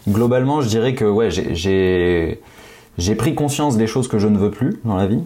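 A man's fairly low voice at a fairly slow pace, with ordinary pitch variation, very even loudness and noticeable background noise. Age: 30s. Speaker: podcast co-host. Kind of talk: casual chat.

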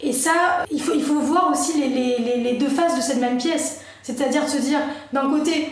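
High-pitched woman's voice at a moderate pace, fairly even intonation, with audible room echo and noticeable background noise. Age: 30s. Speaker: digital marketing agency owner. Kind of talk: casual chat.

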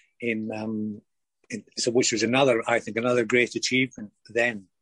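In a Lanarkshire accent, a man speaks at a medium pitch with monotone, flat intonation. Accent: Lanarkshire Scottish. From Scotland, Wishaw, Lanarkshire. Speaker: former professional footballer. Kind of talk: interview. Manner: halting, many fillers and repetitions.

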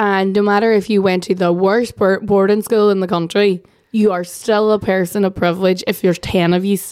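This woman talks at a moderate pace with a medium pitch and an Irish accent. She hardly pauses, and her loudness stays very even. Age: 30s. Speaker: political journalist. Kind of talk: casual chat. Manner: animated.

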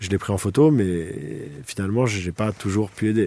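A man's fairly low voice with a dark, mellow tone. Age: 40s. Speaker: photojournalist. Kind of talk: testimony. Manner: casual, with hesitations.

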